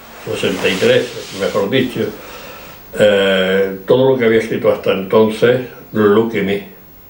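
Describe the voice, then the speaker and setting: A man speaks with a fairly low pitch. There is noticeable background noise and audible room echo. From Spain, Granada (Andalusia). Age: 80s+. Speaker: poet. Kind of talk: interview at a literary event. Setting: bookstore event with audience. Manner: halting, with many fillers.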